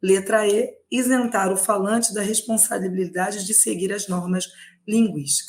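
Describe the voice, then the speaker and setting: Somewhat breathy, a woman talks at medium pitch at a fairly slow pace with fairly even intonation. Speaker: Portuguese language teacher. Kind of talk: online lecture, exam prep live stream. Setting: live stream.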